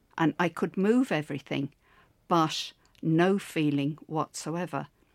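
This woman's voice is very deep and low. She speaks at a very slow pace. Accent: Irish. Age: 70s. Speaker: stroke survivor and gym client. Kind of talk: interview.

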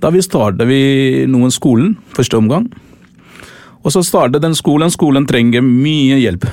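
A man with a Tamil accent speaks at a fairly slow pace and fairly high pitch, with lively intonation and very even loudness. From Sri Lanka. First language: Tamil (speaking Norwegian). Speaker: volunteer charity leader. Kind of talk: interview. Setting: studio. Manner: halting.

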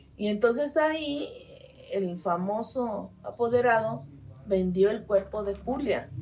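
A woman at a very slow pace, somewhat breathy, with lively intonation. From Mexico, Guadalajara, Jalisco. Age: 60s. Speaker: medical geneticist. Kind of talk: interview. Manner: halting.

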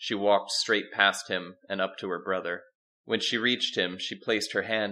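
Reading aloud in a natural voice, the speaker keeps a fairly even intonation over a quiet background.

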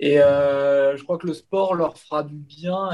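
This man uses an ordinary speaking voice, fairly high in pitch, with fairly even intonation. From Paris region, France. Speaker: website editor-in-chief, Inter fan. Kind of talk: casual interview.

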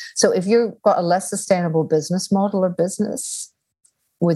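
On a very clean recording with a silent background, a woman talks in a somewhat breathy voice with ordinary pitch variation. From Australia. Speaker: guest, business/sustainability expert. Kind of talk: interview conversation.

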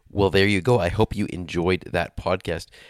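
A man's very deep, low voice with a Canadian accent and fairly even intonation, in a dry, close sound with no echo and a very clean recording with a silent background. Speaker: podcast host. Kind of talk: interview; podcast outro. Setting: hotel room.

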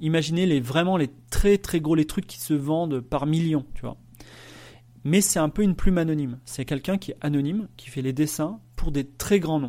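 On a very clean recording with a silent background, the dark, mellow voice moves at a moderate pace with ordinary pitch variation and big swings in loudness. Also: man, fairly high pitch for a man. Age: 40s. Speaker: podcast host and author. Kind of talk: solo podcast monologue. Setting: live stream recording. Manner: hesitant, many fillers.

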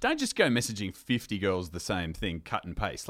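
An Australian accent comes through as a man talks fairly quickly with lively intonation. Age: 40s. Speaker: reality TV contestant. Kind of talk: casual chat.

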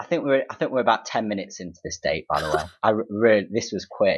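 A man with an East Midlands accent. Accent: Derby East Midlands English. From Derby, England. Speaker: friend and guest chatting about dates. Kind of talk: casual chat.

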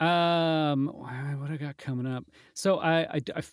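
A man's voice, dry and close with no echo, on a very clean recording with a silent background. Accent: American. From US Midwest. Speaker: voice actor. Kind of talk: casual chat.

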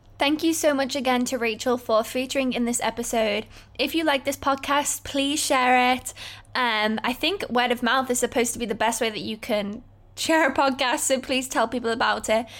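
A high-pitched woman's voice on a very clean recording with a silent background. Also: fairly even intonation, moderate pace. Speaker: podcast host. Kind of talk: casual interview chat.

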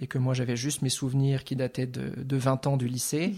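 A very clean recording with a silent background of a man at a medium pitch, fairly quick pace and fairly even intonation. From France, Lorraine. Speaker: artist. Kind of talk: interview. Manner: halting, repeats words.

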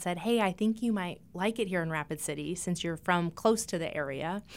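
With an American accent and a plain, everyday voice, a woman speaks at a fairly quick pace in a very clean recording with a silent background. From eastern Montana. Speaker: breast surgeon. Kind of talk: interview. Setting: studio.

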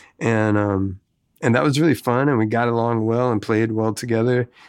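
This man's intonation stays fairly even, and the background around him is quiet. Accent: Southern US. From Tennessee (Memphis area), later Mississippi. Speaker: guitarist and singer. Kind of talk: casual interview chat.

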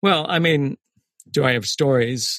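A man speaks at a fairly slow pace with lively intonation, recorded with a dry, close sound and no echo. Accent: American. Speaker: former government intelligence analyst. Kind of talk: interview. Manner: halting.

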